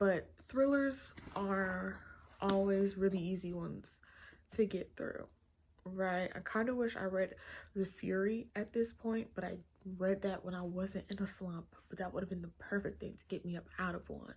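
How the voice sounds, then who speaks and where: A woman speaks at a moderate pace in a medium pitch, her voice somewhat breathy. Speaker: book vlogger. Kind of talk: casual vlog talk. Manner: casual, hesitant with many fillers.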